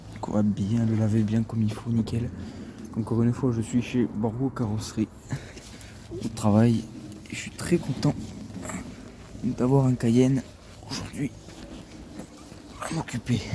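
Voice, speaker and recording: A soft-spoken man at medium pitch, fairly even in intonation and fairly slow, with long, frequent pauses and noticeable background noise. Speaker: car detailer and video creator. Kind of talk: casual vlog narration while working. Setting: outdoors at a body shop.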